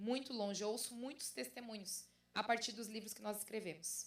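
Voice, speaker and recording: Speaking in a southern Brazilian accent, a woman with a fairly high pitch talks at a moderate pace with big swings in loudness. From southern Brazil, Santa Catarina (Brusque). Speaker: pastor and author. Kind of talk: conference talk.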